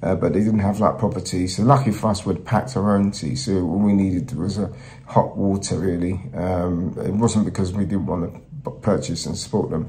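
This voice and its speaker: A man's very deep, low voice at a fairly quick pace with ordinary pitch variation, audible room echo and noticeable background noise. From Nigeria. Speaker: travel presenter. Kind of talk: travel vlog talk to camera.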